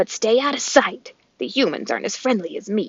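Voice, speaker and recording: Putting on a character voice, a woman growls in a raspy, fairly high-pitched tone at a fairly quick pace. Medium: read story. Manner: gruff.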